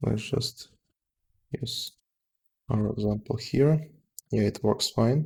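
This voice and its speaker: A man with a non-native accent speaks at a very slow pace. His pauses are long and frequent. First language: not English. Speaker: software developer. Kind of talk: live coding tutorial. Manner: halting, many fillers.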